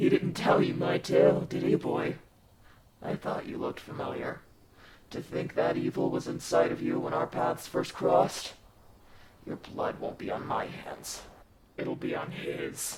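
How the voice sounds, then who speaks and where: A man does a cartoonish character voice with a raspy sound. He keeps a moderate pace with long, frequent pauses. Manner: heavy, grim.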